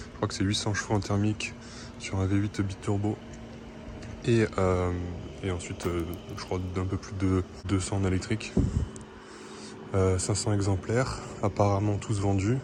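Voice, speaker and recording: Fairly even intonation in a man's fairly low-pitched voice, at a moderate pace. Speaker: car vlogger. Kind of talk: casual walkaround video commentary. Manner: hesitant, many fillers.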